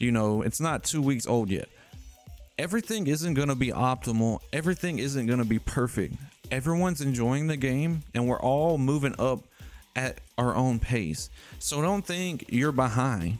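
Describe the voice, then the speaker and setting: At a moderate pace, a man with a medium pitch speaks in an animated tone with lively intonation and very even loudness. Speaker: gaming content creator. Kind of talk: tutorial.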